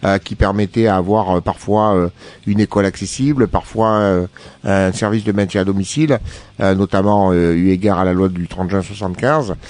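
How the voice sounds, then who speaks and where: With fairly even intonation, a man speaks at a moderate pace and a fairly low pitch. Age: 50s. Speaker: business founder, wheelchair user. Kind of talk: radio interview. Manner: hesitant, many fillers.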